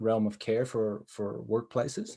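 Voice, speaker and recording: In a dark, mellow tone, a man speaks with an American accent. The background is quiet. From United States. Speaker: social worker and business owner. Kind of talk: conference presentation.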